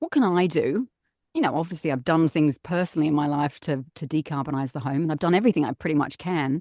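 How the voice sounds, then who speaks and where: A woman speaks with an Australian accent. The sound is dry and close with no echo, over a quiet background. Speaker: voice over artist and actor. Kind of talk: podcast interview answer. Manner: down-to-earth, casual.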